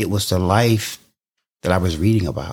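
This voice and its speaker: In a very clean recording with a silent background, a man with a Southern US accent talks at a moderate pace. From US South. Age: 60s. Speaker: war veteran and pastor. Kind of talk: interview.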